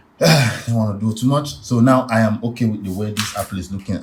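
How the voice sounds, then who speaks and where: A man with a fairly low-pitched voice talks as noticeable background noise plays behind him. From Nigeria. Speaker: art tutor. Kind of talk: tutorial. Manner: casual, chatty.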